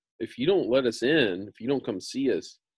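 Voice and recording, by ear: The text is read aloud in a natural voice.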